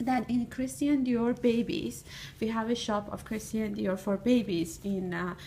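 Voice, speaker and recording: A woman's fairly high, somewhat breathy voice with a dark, mellow tone, at a fairly slow pace. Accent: non-native. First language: not English. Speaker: fashion student. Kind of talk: recorded monologue. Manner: halting.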